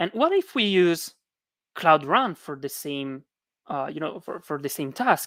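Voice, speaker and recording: A woman with a non-native accent speaks at a fairly slow pace in a very deep, low voice, her intonation lively and her loudness swinging widely, on a very clean recording with a silent background. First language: not English. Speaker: conference speaker. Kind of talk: technical talk. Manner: hesitant, many fillers.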